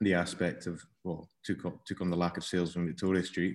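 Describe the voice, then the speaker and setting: Speaking at a moderate pace, a man with a Scottish accent uses a very deep, low pitch and a flat, monotone intonation. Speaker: cheesemonger. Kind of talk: casual interview. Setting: video call.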